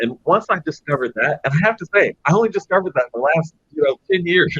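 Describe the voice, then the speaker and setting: The speaker is a man with an American accent. His voice is somewhat breathy. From Los Angeles, California. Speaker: business executive. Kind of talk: panel discussion. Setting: virtual conference.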